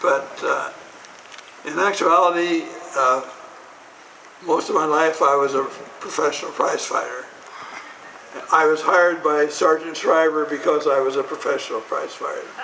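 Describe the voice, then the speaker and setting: Over noticeable background noise and audible room echo, a man with an American accent speaks at a fairly high pitch. His intonation is monotone and flat, at a moderate pace with long, frequent pauses. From Montana, US. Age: 80s+. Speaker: former prize fighter and Peace Corps official. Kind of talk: ceremonial speech. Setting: outdoors with audience.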